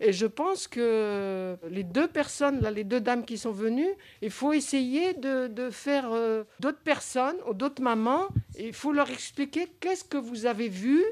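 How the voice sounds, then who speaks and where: A woman's high-pitched voice with very wide pitch swings at a fairly slow pace, in a very clean recording with a silent background. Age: 60s. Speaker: grandmother and support group member. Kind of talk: group discussion. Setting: community center meeting.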